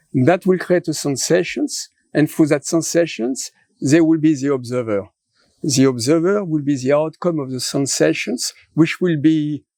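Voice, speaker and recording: In a French accent, a man with a fairly high voice talks at a fairly slow pace with ordinary pitch variation, on a very clean recording with a silent background and a dry, close sound with no echo. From France. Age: 70s. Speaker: philosopher. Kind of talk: interview conversation.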